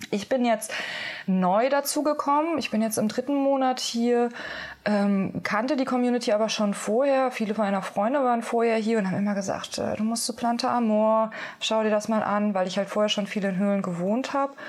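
A moderate pace, very even loudness and ordinary pitch variation. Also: woman, fairly high pitch for a woman. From Germany. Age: 30s. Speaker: medicine woman and sound healer. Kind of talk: interview, casual chat. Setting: inside a cave. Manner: hesitant, many fillers.

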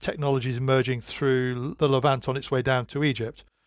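On a very clean recording with a silent background, an unremarkable speaking voice moves at a fairly quick pace. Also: man. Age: 50s. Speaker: historian and archaeologist. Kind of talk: interview.

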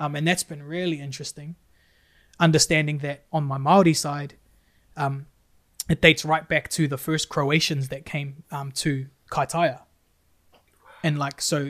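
A man with a New Zealand accent talks at a fairly slow pace. His intonation is monotone and flat, on a very clean recording with a silent background. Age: 30s. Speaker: youth worker and musician. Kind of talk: podcast interview, personal story.

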